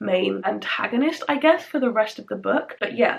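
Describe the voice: A woman speaks at a medium pitch with a fairly bright tone. Her voice carries vocal fry and a slightly husky edge.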